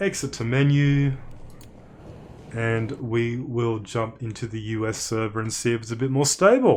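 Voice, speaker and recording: A man talks with an Australian accent at a moderate pace. His pitch is medium and his intonation fairly even. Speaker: game streamer. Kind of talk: live gameplay stream commentary.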